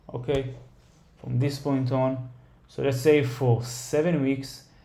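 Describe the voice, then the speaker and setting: A somewhat breathy man's voice with a dark, mellow tone and audible room echo. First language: not English. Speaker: stock trader, market analysis creator. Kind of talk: tutorial. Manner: halting, many fillers.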